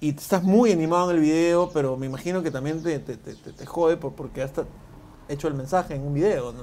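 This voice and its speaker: A man with an ordinary speaking voice, fairly high in pitch, talks at a fairly quick pace with ordinary pitch variation and big swings in loudness. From Peru, Lima. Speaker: video interviewer. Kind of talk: casual interview.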